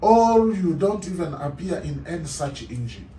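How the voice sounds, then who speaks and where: A man speaks at a fairly slow pace, with audible room echo. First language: African language (English is third language). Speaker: translator. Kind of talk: tutorial.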